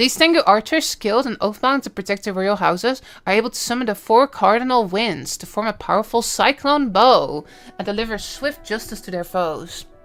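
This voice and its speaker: With a Dutch accent, a woman talks at a fairly quick pace at medium pitch, her intonation lively and her loudness swinging widely. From Netherlands. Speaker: gaming streamer. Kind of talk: live stream reaction. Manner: casual, animated.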